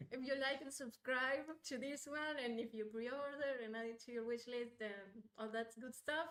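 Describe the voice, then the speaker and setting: In a Spanish accent, a woman speaks at a high pitch and a moderate pace. Her intonation is fairly even, and she hardly pauses. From Uruguay. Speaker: game designer. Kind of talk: live stream Q&A chat.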